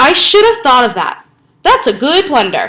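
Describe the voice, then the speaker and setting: Growling in a put-on character voice, a woman speaks high in pitch with very wide pitch swings. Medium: read story. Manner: growling, muttering.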